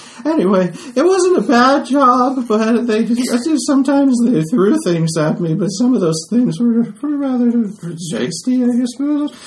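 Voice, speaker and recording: A man puts on a squeaky character voice at an extremely high pitch, talking at a moderate pace over light background noise. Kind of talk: deliberately awful comic NPC voice. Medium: actual play. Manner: halting, rambling, meek and mopey.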